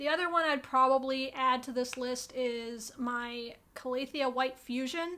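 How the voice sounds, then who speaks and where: In a raised, projected voice, a woman speaks at a high pitch and a fairly slow pace, her intonation fairly even. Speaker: plant youtuber. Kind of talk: casual chat.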